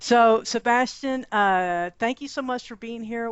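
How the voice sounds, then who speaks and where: In a Texan accent, a woman speaks with ordinary pitch variation. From Texas. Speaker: podcast host. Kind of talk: podcast interview.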